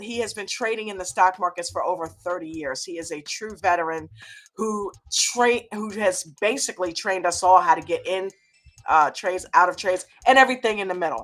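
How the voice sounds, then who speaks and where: A raspy, put-on character voice moves at a fairly quick pace. Music plays in the background. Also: woman, medium pitch for a woman. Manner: flustered, stuttering a little.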